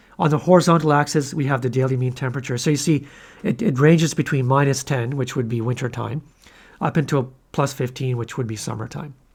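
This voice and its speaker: On a very clean recording with a silent background, a somewhat breathy voice runs at a very fast pace with ordinary pitch variation. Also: man, medium pitch for a man. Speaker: statistics instructor. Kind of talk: lecture. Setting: recorded video lecture. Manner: occasionally tongue-tied.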